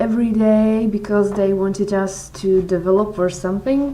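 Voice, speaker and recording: Audible room echo surrounds a woman speaking at a medium pitch with fairly even intonation. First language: not English. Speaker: blogger answering follower questions. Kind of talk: casual Q&A vlog. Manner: halting, frequent repetitions and fillers.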